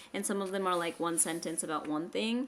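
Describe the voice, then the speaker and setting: The voice is an unremarkable speaking voice, with ordinary pitch variation. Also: woman. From United States. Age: 20s. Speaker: vlogger. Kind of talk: casual chat. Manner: casual, filler-heavy.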